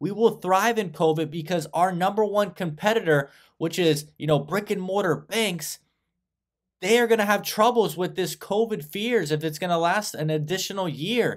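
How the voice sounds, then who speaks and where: A man speaks at a high pitch with ordinary pitch variation. The background is quiet. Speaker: stock commentator. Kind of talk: commentary. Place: home room. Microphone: webcam.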